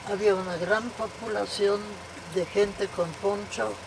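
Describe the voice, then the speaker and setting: At a very slow pace and with fairly even intonation, the speaker talks over noticeable background noise. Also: woman. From Czechia, Prague. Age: 80s+. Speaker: interviewee, immigrant. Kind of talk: interview, reminiscence.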